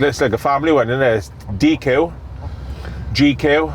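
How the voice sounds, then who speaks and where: A man speaks with a Welsh accent. Noticeable background noise can be heard. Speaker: rugby pundit. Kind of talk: casual chat. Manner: loud.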